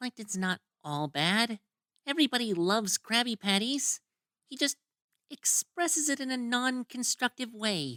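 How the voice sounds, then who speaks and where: A female-sounding cartoonish character voice, fairly high in pitch, delivers an upbeat tone at a moderate pace. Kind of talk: cartoon fan dub. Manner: upbeat, excitable.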